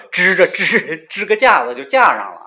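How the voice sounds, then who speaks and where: Clear background noise can be heard. A man talks over it. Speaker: podcast host. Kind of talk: casual chat.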